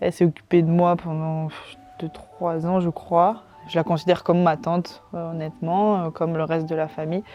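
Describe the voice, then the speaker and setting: Intonation stays monotone and flat as the speech moves at a moderate pace. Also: woman. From southern France, Toulouse area. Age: 20s. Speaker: professional footballer. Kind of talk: interview, personal storytelling. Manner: hesitant, many fillers.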